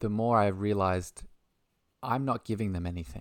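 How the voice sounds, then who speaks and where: On a very clean recording with a silent background, a man with an Australian accent talks fairly quickly at a fairly low pitch. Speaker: holistic health coach and spiritual mentor. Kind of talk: casual interview chat.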